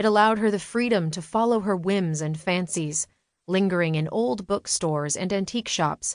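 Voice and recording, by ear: Over a quiet background, this is reading aloud in a natural voice with ordinary pitch variation.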